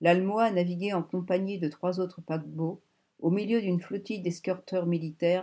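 Against a quiet background comes an unforced reading voice with fairly even intonation.

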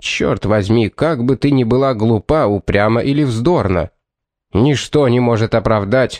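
Someone reads aloud in a natural voice with ordinary pitch variation over a quiet background.

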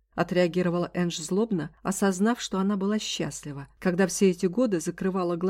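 The intonation is fairly even. The speaker has a natural reading voice.

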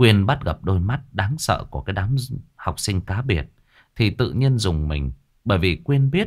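Intonation rises and falls in a lively way. The reading voice is unforced.

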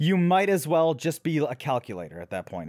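A man talks in an animated tone at a fairly quick pace, his pitch fairly high. The recording is very clean, with a silent background. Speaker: tabletop gaming podcast host. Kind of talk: casual banter chat. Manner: sarcastic, animated.

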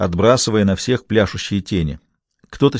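Someone reads out loud, sounding natural. Nothing much stirs in the background.

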